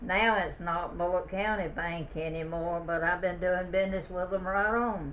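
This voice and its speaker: A woman with a Southern US accent, fairly even intonation and hardly any pauses, over noticeable background noise. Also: medium pitch for a woman, moderate pace. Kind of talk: oral history interview answer. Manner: conversational, reminiscing.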